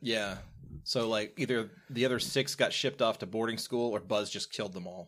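On a very clean recording with a silent background, a man with an American accent talks at a moderate pace and medium pitch, with ordinary pitch variation and an unremarkable speaking voice. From US South. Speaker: podcast host. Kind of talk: casual chat.

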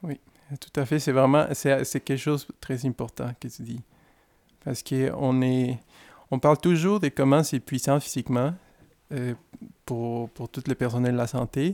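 On a very clean recording with a silent background, a man with a Spanish accent talks fairly slowly at medium pitch, his intonation fairly even and his pauses long and frequent. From Mexico, Guadalajara. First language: Spanish (speaking French). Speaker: care worker and former doctor. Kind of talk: interview. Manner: hesitant, with fillers.

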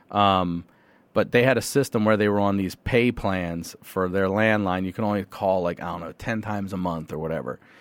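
Over a very clean recording with a silent background, a man in a plain, everyday voice talks at a fairly quick pace, with a fairly low pitch and ordinary pitch variation. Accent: American. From Carroll County, Maryland, US. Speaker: comedian and podcaster. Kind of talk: casual interview chat.

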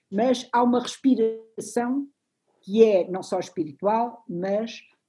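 Here a woman's medium-pitched voice has a dark, mellow tone. Her intonation is lively and her delivery somewhat breathy. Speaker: literature professor. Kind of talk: lecture. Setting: video call.

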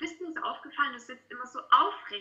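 Fairly quick pace with ordinary pitch variation. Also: woman. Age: 20s. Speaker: student and model. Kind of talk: casual interview. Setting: video call.

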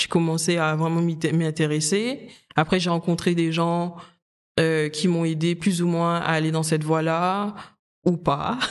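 The pace is fairly slow. The background is quiet. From Guadeloupe. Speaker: makeup artist. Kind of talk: casual interview chat.

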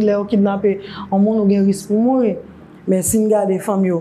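A woman at a medium pitch and a fairly quick pace. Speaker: women's rights organization director. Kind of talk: interview. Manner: halting, frequent fillers.

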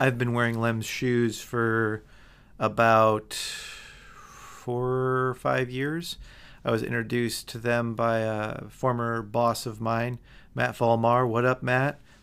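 Speaking at a very slow pace with a US Midwestern accent, a man keeps a medium pitch in a monotone, flat intonation. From Michigan, US. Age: 30s. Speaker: podcast host. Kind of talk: sponsor read; casual interview.

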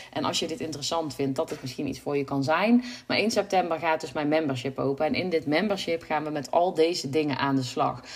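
Over noticeable background noise, a woman with a very deep, low pitch talks at a fairly quick pace. She shows ordinary pitch variation and hardly any pauses. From Brabant, Netherlands. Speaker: website designer and podcast host. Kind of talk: solo podcast monologue. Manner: hesitant, many filler sounds.

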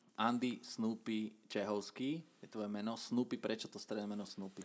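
An unremarkable speaking voice from a man, at a moderate pace with fairly even intonation. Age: 30s. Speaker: podcast host. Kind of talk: casual interview.

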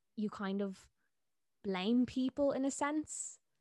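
In a Dublin accent, a woman talks at a fairly slow pace with ordinary pitch variation, in a very clean recording with a silent background and a dry, close sound with no echo. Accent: Dublin Irish. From Dublin, Ireland. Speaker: TikTok content creator. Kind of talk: casual chat. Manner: casual, laughs often.

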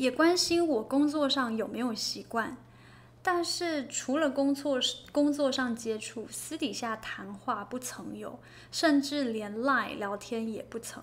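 Speaking at a very slow pace, a woman uses a high-pitched voice with ordinary pitch variation. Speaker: podcast co-host. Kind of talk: casual chat between a couple.

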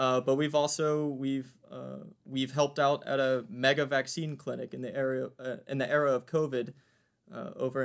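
An ordinary speaking voice from a man at medium pitch, with fairly even intonation. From US South, Virginia (Waynesboro). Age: 20s. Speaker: community service team leader. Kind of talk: interview.

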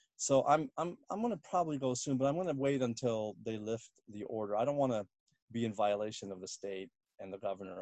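The speaker talks at a very fast pace with an American accent. The intonation is lively. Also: man, medium pitch for a man. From Washington D.C. area, US. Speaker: comedian. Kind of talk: casual interview.

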